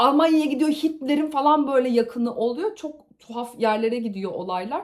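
Her voice high, a woman talks at a moderate pace in an animated tone with ordinary pitch variation. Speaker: youtuber reviewing books and shows. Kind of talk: casual chat to camera. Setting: on location at a conference trip.

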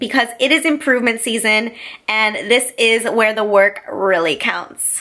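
Her pace is fairly slow. The woman's pitch shows ordinary variation. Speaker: fitness vlogger. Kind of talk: casual vlog chat. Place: home room. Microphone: phone near.

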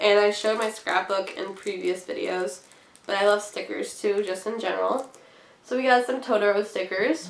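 Amid noticeable background noise, a woman talks at a moderate pace with a medium pitch and ordinary pitch variation. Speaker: cross stitch vlogger. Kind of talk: casual chat. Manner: animated.

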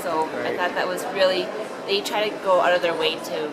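A woman speaking at a fairly quick pace with ordinary pitch variation over loud background noise. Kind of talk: testimonial interview answer. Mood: positive, relaxed recollection. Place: shop. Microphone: phone near.

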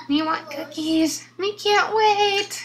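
Using a squeaky put-on character voice, a woman speaks at an extremely high pitch with ordinary pitch variation. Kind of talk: character voice in toy play. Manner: gruff, cookie-craving.

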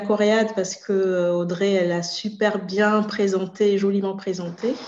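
A woman's voice with fairly even intonation and audible room echo. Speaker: association board member. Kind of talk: introductory remarks. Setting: video call. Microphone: video call.

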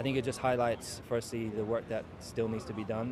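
A man talks at a fairly quick pace over noticeable background noise. The sound is dry, with no echo. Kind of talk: interview answer. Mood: serious, measured. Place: street. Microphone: handheld.

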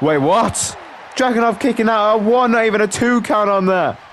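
A man talks at a moderate speed in a high pitch, with noticeable background noise present. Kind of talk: wrestling commentary over game footage, play-by-play with casual banter. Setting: gameplay video, solo narration.

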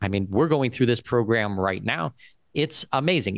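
Against a quiet background, a man talks with lively intonation in a dry recording that has no echo. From Southwestern Ontario, Canada; Ontario. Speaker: second citizenship and expat consultant; guest. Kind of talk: interview. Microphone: studio mic.

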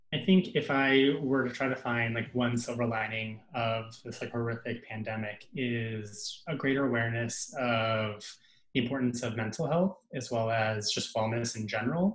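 A man's somewhat breathy voice at a moderate pace, with ordinary pitch variation and audible room echo. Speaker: pediatric resident doctor; panelist. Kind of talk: panel discussion. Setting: video call. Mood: earnest, reflective. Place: home room. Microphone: webcam.

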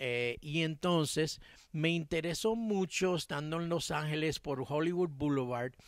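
In an ordinary speaking voice, a man talks at a fairly slow pace with ordinary pitch variation, the sound dry with no echo against a quiet background. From Cuba-born, raised in Miami. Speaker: music producer and songwriter; interviewee. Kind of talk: interview. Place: garden. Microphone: handheld.

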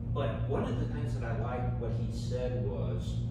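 A man talks at a moderate pace. Music plays in the background, and the room echo is audible. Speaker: group leader or host. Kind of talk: informal talk to a group. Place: meeting room.

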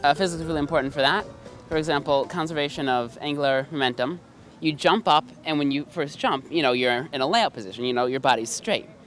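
Over music in the background, the speech moves at a fairly quick pace, with a dry sound and no echo. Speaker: interviewee. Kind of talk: interview answer. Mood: friendly, lightly amused. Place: open country. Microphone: handheld.

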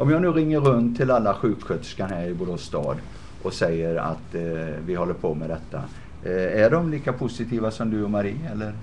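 This speech moves at a moderate pace. Its pitch swings very widely. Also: man, fairly low pitch for a man. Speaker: web show host. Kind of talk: live-streamed interview.

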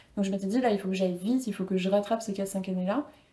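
A woman at a very fast pace and medium pitch, with fairly even intonation. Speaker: personal branding coach and former model; personal branding coach. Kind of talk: casual interview. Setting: studio with camera. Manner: calm, composed. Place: home room. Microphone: lapel.

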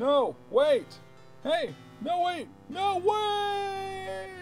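This is a put-on character voice pitched extremely high. Clear music plays in the background. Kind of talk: theatrical fantasy voice acting. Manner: dramatic, pleading.

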